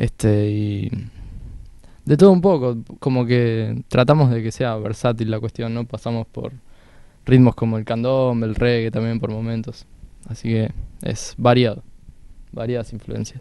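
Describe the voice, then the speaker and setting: A man with a dark, mellow tone speaks at a fairly slow pace with fairly even intonation and long, frequent pauses, over a quiet background in a dry sound with no echo. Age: 20s. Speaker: jazz harmonica player. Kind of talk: casual interview. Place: studio. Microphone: handheld.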